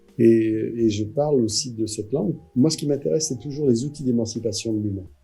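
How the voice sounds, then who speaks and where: A man with a medium-pitched voice talks while music plays in the background. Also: ordinary pitch variation. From France, Vendée. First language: Poitevin-Saintongeais (Vendée patois) (speaking French). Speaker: actor and storyteller. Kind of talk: interview. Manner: hesitant, with fillers.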